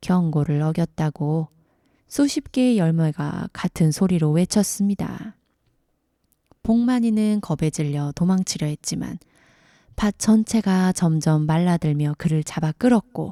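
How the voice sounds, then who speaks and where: At a very slow pace with long, frequent pauses, a woman speaks in a calm, gentle, dark and mellow tone with ordinary pitch variation, recorded dry and close with no echo on a very clean recording with a silent background. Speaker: storyteller. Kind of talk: sleep story.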